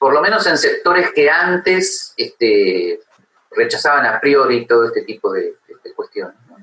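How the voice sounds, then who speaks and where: A man speaks at a moderate pace. His loudness swings widely. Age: 60s. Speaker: philosophy professor. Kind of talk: interview. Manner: halting, many fillers.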